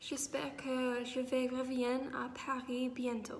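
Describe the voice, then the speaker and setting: Speaking very slowly in an English accent, a woman with a high pitch is heard with audible room echo and noticeable background noise. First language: English (speaking French). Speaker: vlogger, student abroad. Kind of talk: vlog. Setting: outdoors in a park. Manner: halting, frequent hesitations.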